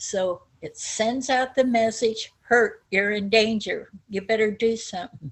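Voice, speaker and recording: A woman's somewhat breathy, fairly high voice at a fairly slow pace. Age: 70s. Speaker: chronic pain survivor. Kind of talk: personal life story talk.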